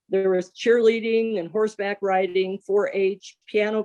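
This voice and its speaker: A woman with an American accent speaks in a dark, mellow tone at medium pitch and a fairly slow pace. Her intonation is monotone and flat, and the sound is dry and close with no echo. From US Midwest, central Illinois. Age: 60s. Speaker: new club member. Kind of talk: prepared personal introduction.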